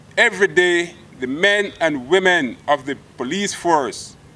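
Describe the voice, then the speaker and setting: A man's high-pitched voice with ordinary pitch variation. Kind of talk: formal acceptance speech. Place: open country. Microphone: podium.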